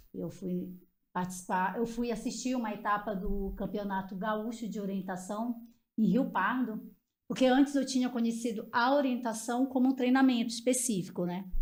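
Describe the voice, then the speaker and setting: A woman's somewhat breathy, fairly high-pitched voice with ordinary pitch variation and audible room echo. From Pará, Brazil. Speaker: orienteering team co-founder. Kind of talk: podcast personal story.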